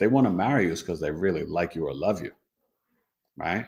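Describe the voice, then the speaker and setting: In a New York accent, a man with a very deep, low pitch speaks with lively intonation. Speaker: astrologer. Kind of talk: casual teaching livestream. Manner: animated.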